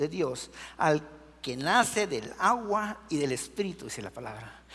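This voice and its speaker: The speaker has a Guatemalan accent and talks at a moderate pace. The intonation is lively. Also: man. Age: 60s. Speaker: preacher. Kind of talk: sermon.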